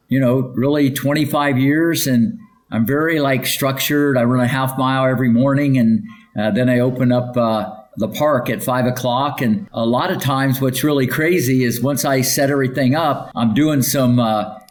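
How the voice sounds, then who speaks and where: In an American accent, a man speaks at a moderate pace with medium pitch, ordinary pitch variation and very even loudness, amid noticeable background noise and audible room echo. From US Midwest, Ohio. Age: 60s. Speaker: tennis coach. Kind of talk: interview. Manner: energetic.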